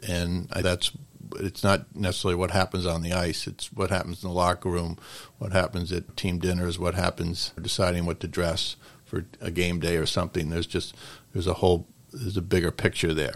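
A man with an American accent, a very deep, low voice and flat, monotone intonation at a fairly quick pace, on a very clean recording with a silent background. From Connecticut. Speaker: hockey coach. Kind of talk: interview.

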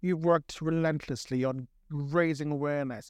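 A man speaks in a normal speaking voice at a moderate pace, his pitch fairly high. The background is quiet. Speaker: podcast host. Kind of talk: interview.

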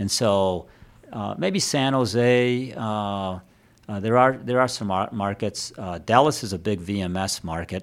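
This man has a normal speaking voice, fairly low in pitch, with ordinary pitch variation. He speaks at a fairly slow pace. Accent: American. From Detroit, Michigan. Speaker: staffing firm executive. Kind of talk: casual interview. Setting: studio at a private club.

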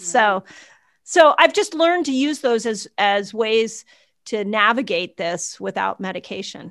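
Against a quiet background, a woman talks at a fairly slow pace with very wide pitch swings. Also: fairly high pitch for a woman. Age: 50s. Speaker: doctor and health educator. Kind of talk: casual interview. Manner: animated.

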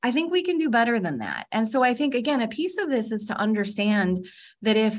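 With a Californian accent, a woman speaks at a moderate pace over a quiet background, her somewhat breathy, fairly high voice making very wide pitch swings. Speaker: nonprofit executive. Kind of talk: interview conversation. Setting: call.

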